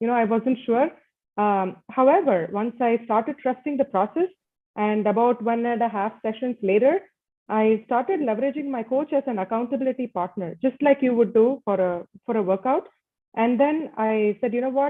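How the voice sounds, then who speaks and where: The speaker has a strong Indian accent and a moderate pace. Pitch variation is ordinary. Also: woman, fairly high pitch for a woman. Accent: thick Indian (Desi). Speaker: leadership coach and MBA student. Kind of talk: conference panel talk. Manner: halting, many fillers.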